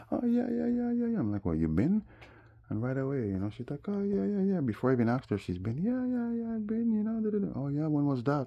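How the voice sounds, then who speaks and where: Talking at a very fast pace with a Jamaican accent, a man sounds animated, his pitch swinging very widely. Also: fairly high pitch for a man. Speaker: vlogger. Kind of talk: casual monologue. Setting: smoking.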